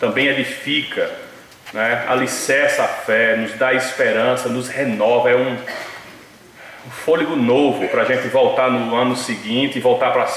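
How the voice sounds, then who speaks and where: A man speaks at a fairly slow pace. Noticeable background noise and audible room echo are present. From Northeast Brazil. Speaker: preacher. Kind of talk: sermon.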